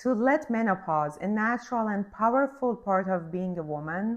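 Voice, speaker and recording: Very wide pitch swings mark this moderately paced speech in a non-native accent against a quiet background. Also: woman. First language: not English. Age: 40s. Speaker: podcast host. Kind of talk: scripted monologue introduction.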